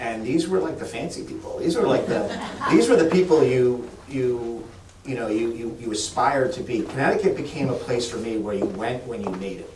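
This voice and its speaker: Audible room echo and noticeable background noise around a man talking fairly quickly. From Massachusetts, Boston area. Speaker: state economic development official. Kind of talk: fireside chat with audience. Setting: stage with live audience. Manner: halting, many restarts.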